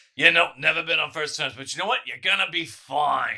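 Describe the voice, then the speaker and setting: A man puts on a raspy character voice. His pitch sits fairly high. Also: fairly quick pace. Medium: actual play.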